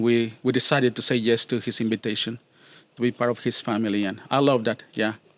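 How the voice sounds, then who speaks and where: In monotone, flat intonation, a man speaks at a medium pitch. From Mexico. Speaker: church youth ministry director. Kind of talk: podcast interview. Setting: summer camp recording. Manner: halting, with many repetitions.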